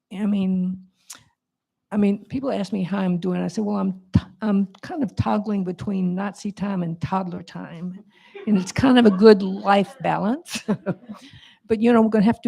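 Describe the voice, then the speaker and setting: A woman's somewhat breathy, medium-pitched voice with a dark, mellow tone. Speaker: movement elder on a panel. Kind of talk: panel discussion.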